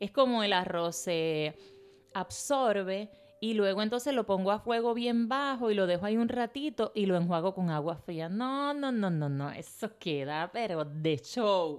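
Her pace is fairly slow, yet her tone is animated. The woman's medium pitch moves with lively intonation. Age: 40s. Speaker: podcast host. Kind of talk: motivational podcast monologue.

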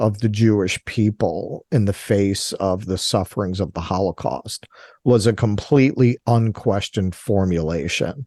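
In an American accent, the speaker keeps a fairly even intonation, heard dry and close with no echo against a quiet background. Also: man. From Brooklyn, New York. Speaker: podcaster and commentator. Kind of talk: radio interview discussing politics. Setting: radio show.

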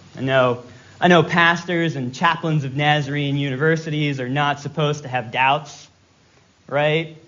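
A man's fairly high voice at a moderate pace, with fairly even intonation, audible room echo and noticeable background noise. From Virginia. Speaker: guest preacher. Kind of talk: sermon.

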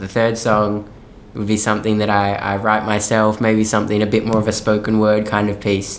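Over audible room echo, a man with an Australian accent talks at a fairly quick pace in a fairly low pitch. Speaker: musical theatre performer. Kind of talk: interview conversation.

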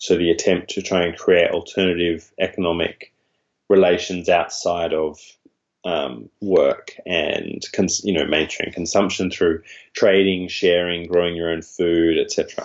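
A man with an Australian accent at a fairly slow pace. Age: 30s. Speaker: academic author. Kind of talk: interview.

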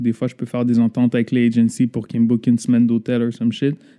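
At a very fast pace, a man with a medium pitch and a dark, mellow tone speaks in a dry, close sound with no echo. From Laval, Quebec. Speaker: music producer. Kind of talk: casual interview.

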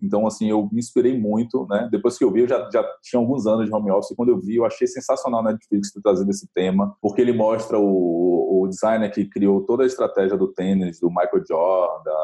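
At a fairly quick pace, a man speaks with hardly any pauses. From Bahia, Brazil (rural area near Salvador). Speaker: brand designer. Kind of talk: interview.

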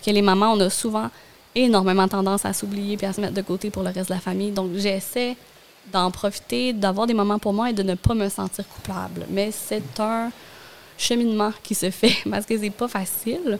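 This woman has an unremarkable speaking voice at medium pitch. Her intonation is fairly even, and her pace is moderate. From Gaspésie, Quebec. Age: 30s. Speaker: communications professional and stay-at-home mother. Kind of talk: casual interview.

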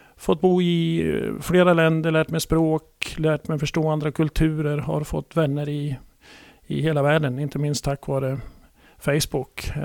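A man's fairly high-pitched voice, fairly slow in pace, with monotone, flat intonation. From Sweden, Gävle. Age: 60s. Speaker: sports club adviser. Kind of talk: interview. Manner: halting.

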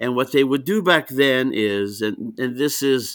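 A man with a Greek accent and a bright, sharp tone, moderately paced, on a very clean recording with a silent background. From Greece. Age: 60s. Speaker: wrestling promoter and commissioner. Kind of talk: casual interview. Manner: long-winded storyteller; laughs often, warm.

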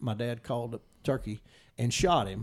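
On a very clean recording with a silent background, a man in a Mississippi accent speaks at a moderate pace. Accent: Mississippi Southern. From Mississippi, Noxubee County. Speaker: turkey hunting guide. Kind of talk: casual chat.

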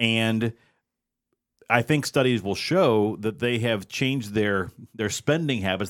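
A normal speaking voice with ordinary pitch variation in a very clean recording over a silent background. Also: man. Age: middle-aged. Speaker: podcast co-host and moderator. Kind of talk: casual political roundtable chat. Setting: studio roundtable.

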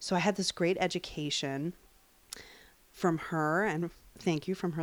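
A woman with an American accent and a plain, everyday voice speaks at a moderate pace in a fairly low pitch. The recording is very clean, with a silent background. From US Northeast, Long Island, New York. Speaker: witch and tarot reader. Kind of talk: casual interview.

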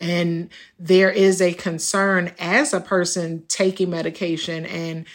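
Recorded very cleanly with a silent background, a woman with an ordinary speaking voice speaks at a fairly low pitch with fairly even intonation. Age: 50s. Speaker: patient living with HIV. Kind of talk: personal testimony.

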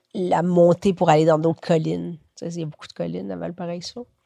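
A woman talks at a moderate pace in a dark, mellow tone with fairly low pitch. The sound is dry and close, with no echo. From Quebec, moved from Chile at age 7. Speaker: writer. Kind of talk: casual interview. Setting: at home, lying in bed.

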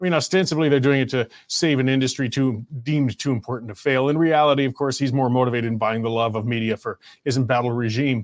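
With a Canadian accent, the voice races along at a very fast pace with hardly any pauses and fairly even intonation. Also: man, medium pitch for a man. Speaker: talk show host. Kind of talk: casual talk show. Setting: live stream studio.

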